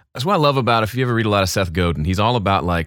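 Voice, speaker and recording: Over a silent background in a very clean recording, a man talks with a Southern US accent. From US South, Mississippi. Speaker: YouTube audio creator and mix engineer. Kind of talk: interview conversation.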